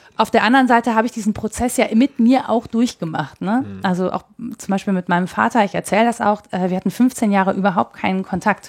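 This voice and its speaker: With medium pitch and ordinary pitch variation, a woman talks in an ordinary speaking voice. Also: fairly quick pace, dry, close sound with no echo. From Mönchengladbach, Lower Rhine, Germany. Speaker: freelance journalist and podcaster. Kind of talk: interview. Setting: in person in Cologne.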